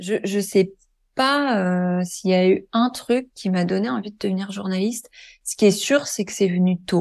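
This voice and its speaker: At a fairly slow pace and medium pitch, a woman speaks in a normal speaking voice with ordinary pitch variation against a quiet background. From western France, Deux-Sèvres. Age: 30s. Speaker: journalist. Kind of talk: testimony.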